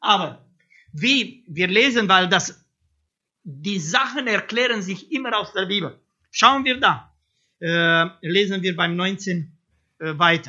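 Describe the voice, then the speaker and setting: In a non-native accent, the speaker goes at a very slow pace with long, frequent pauses. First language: not German (speaking German). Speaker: preacher. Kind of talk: sermon. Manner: hesitant, many fillers.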